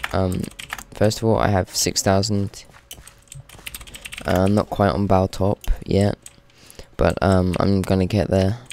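The speech comes at a fairly slow pace with long, frequent pauses. Noticeable background noise runs throughout. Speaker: gaming video creator. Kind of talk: gameplay commentary. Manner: hesitant, many fillers.

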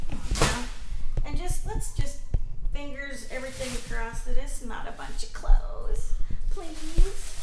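Audible room echo surrounds a fairly slow delivery. Music plays in the background. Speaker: storage unit reseller vlogger. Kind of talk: casual vlog chat. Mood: upbeat, hopeful. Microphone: phone near.

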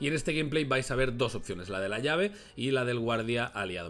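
In a very clean recording with a silent background, a man speaks fairly quickly at a medium pitch. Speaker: gaming youtuber. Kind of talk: gameplay commentary.

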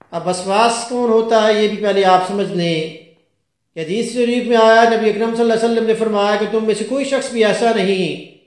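There is audible room echo but a quiet background as a man speaks at a high pitch. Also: fairly even intonation. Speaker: Islamic scholar and Quran reciter. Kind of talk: religious sermon explaining scripture. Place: home room.

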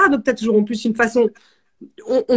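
Over a quiet background, a woman with a high pitch speaks at a very fast pace. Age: 40s. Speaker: music show host. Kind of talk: casual interview. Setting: home. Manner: animated. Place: home room. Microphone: phone near.

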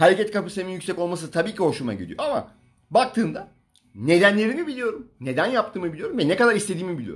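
Over a quiet background, a man with a high voice talks very fast with lively intonation. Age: 40s. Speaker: fitness coach. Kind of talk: livestream talk. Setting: Instagram live stream. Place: home room. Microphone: phone near.

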